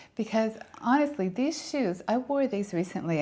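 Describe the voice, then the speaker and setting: A woman's intonation is lively as she keeps a moderate pace. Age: 60s. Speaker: fashion and lifestyle vlogger. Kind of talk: product review and styling tutorial. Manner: animated.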